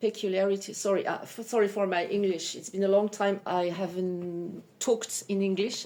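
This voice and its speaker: A woman with a French accent and a dark, mellow tone, fairly quick with hardly any pauses and fairly even intonation. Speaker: psychic medium. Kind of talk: self-introduction video. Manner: halting; hesitant, many fillers.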